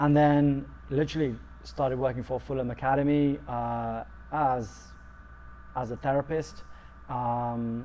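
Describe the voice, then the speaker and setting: Pausing long and often, a man with a London accent speaks at a fairly slow pace. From London, England. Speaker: football coach and sports therapist. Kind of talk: interview. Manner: halting, many fillers.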